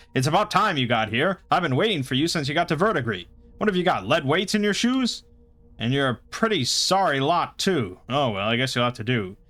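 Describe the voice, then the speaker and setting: A man's gruff, put-on character voice, fairly high-pitched and at a fairly quick pace, with music in the background. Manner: blurting, gruff, impatient.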